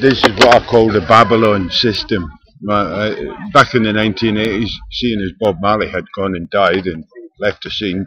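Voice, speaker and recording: A man with an ordinary speaking voice talks at a moderate pace, his fairly low pitch held to fairly even intonation. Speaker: video diarist. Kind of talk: casual talk to camera.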